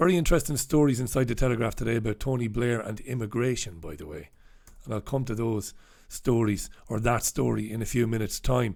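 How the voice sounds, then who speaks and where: Putting on a character voice, a hoarse man of medium pitch rattles along at a very fast pace. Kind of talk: radio or podcast news commentary. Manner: holding back, subdued.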